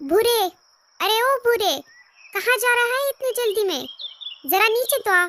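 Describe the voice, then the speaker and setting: In a cartoonish character voice pitched extremely high, a woman speaks at a moderate pace with long, frequent pauses. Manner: familiar, chatty.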